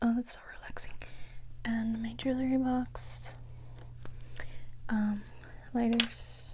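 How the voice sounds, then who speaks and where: A soft-spoken, whispering woman at a very slow pace, with long, frequent pauses and noticeable background noise. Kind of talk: casual talk to camera. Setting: bedroom, room tour. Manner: soft-spoken, chatty, whispery.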